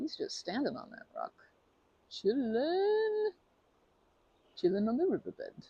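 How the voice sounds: In a put-on character voice, the speaker goes slowly with a slightly husky edge, very wide pitch swings and a dark, mellow tone, in a dry, close sound with no echo. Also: woman, high pitch for a woman.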